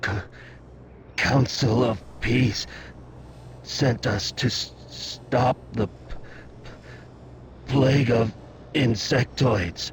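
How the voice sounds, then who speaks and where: Using a put-on character voice, the speaker goes at a very slow pace with fairly even intonation and long, frequent pauses over clear background noise. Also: man, medium pitch for a man. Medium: video game. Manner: heavy stutter, halting, repeats syllables.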